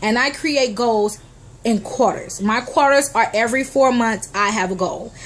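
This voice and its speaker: The voice moves at a moderate pace in an animated tone with ordinary pitch variation. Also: woman, fairly high pitch for a woman. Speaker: motivational vlogger. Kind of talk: motivational talk to camera.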